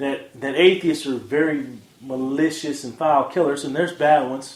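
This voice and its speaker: The recording has audible room echo. A man speaks at a moderate pace. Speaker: podcast host. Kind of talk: casual audio blog commentary. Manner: halting, frequent fillers and restarts.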